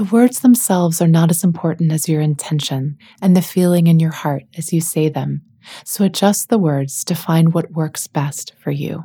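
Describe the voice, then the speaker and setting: A woman with a fairly low pitch speaks in a gentle tone that is somewhat breathy. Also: ordinary pitch variation, moderate pace. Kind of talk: guided meditation. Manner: gentle, soft-spoken.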